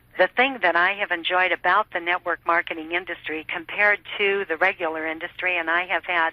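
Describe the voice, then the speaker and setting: This woman has an ordinary speaking voice with a fairly low pitch. She talks at a fairly quick pace with fairly even intonation. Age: 60s. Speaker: network marketer. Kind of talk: interview testimony.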